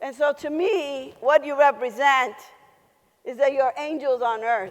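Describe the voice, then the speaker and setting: A woman's high-pitched voice at a fairly slow pace, with ordinary pitch variation and big swings in loudness. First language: Spanish. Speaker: keynote speaker. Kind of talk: keynote speech. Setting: conference stage with audience. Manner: animated.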